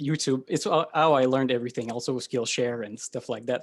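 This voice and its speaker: A man with a French Canadian accent. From Quebec. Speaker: podcast host. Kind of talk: casual interview.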